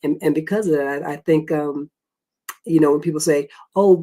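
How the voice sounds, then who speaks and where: The speaker moves at a fairly quick pace in a Southern US accent. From US South, South Carolina. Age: 60s. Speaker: former court stenographer and Marine veteran. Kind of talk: interview.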